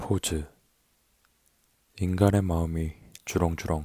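Speaking at a very slow pace, a man has a very deep, low pitch, a dark, mellow tone, and monotone, flat intonation, in a dry, close sound with no echo. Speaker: poetry narrator. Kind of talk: poetry reading. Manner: soft-spoken, slow.

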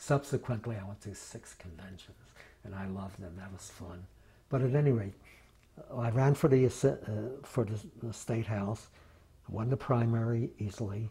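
A somewhat breathy voice with a dark, mellow tone and an American accent speaks at a moderate pace. Pitch varies in an ordinary way, while loudness swings widely. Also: man. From Philadelphia. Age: 80s+. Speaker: retired state legislator. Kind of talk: oral history interview. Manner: halting, with many fillers. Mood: reflective, fond reminiscing. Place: home room. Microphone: lapel.

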